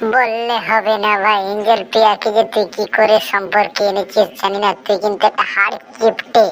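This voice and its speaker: A woman's cartoonish character voice at a medium pitch and moderate pace, flat and monotone, with clear background noise. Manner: cheeky, boastful.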